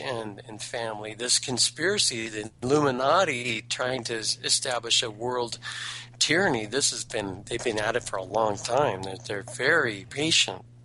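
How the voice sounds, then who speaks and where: Through noticeable background noise comes a man's medium-pitched voice with ordinary pitch variation. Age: 50s. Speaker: caller. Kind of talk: call-in talk radio debate. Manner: halting, repeats words.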